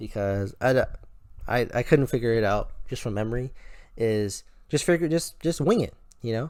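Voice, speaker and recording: Mumbling at a fairly quick pace, a man with a medium-pitched voice and lively intonation speaks on a very clean recording with a silent background. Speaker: gaming video creator. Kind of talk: gameplay tutorial commentary. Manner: stuttering, mumbling; casual, rambling with fillers.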